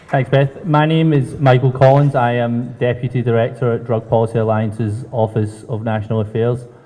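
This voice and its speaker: Somewhat breathy and dark, mellow in tone, the voice moves at a fairly quick pace with hardly any pauses, fairly even intonation and a Scottish accent. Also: man, medium pitch for a man. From Scotland. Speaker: drug policy advocate. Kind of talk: panel introduction.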